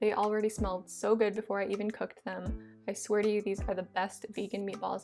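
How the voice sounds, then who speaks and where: Over music in the background, a woman talks in an upbeat tone at a fairly quick pace. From Hawaii. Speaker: vegan food YouTuber. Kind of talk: cooking video voice-over. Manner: casual, upbeat.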